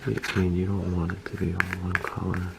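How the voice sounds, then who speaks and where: A soft-spoken man is whispering at a fairly slow pace, with noticeable background noise behind him. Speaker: toy customizer and video creator. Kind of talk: tutorial. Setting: home, close to camera. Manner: whispering, soft-spoken.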